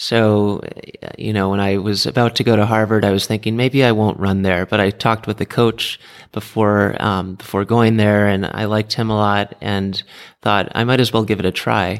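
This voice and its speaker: In an American accent, a man talks at a moderate pace with monotone, flat intonation. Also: fairly low pitch for a man, very clean recording, silent background. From US, California Bay Area and Florida. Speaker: amateur triathlete and tech executive. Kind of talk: interview. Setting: training camp in Arizona.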